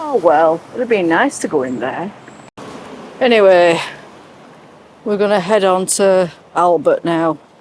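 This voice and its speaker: A woman with an English accent speaks at a medium pitch and fairly slow pace, with lively intonation and long, frequent pauses. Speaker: travel vlogger. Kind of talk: casual vlog narration.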